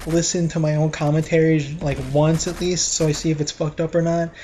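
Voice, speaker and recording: A man's mumbling, tired, fairly high voice at a moderate pace with hardly any pauses, monotone and flat, over noticeable background noise. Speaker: gaming YouTuber. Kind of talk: casual gameplay commentary. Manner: flat, tired-sounding.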